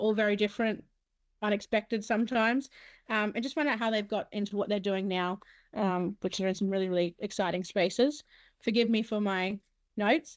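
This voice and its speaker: A woman speaks with an Australian accent. Her medium pitch holds fairly even intonation. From Mackay region, Queensland, Australia. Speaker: webinar host, comms and marketing worker. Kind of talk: moderating an online panel. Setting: online webinar. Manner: fast.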